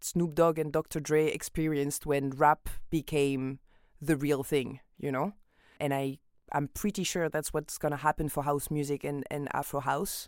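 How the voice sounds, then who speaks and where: A woman with a French accent and very deep, low pitch speaks at a fairly slow pace with fairly even intonation on a very clean recording with a silent background. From France. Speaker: singer and DJ. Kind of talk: interview.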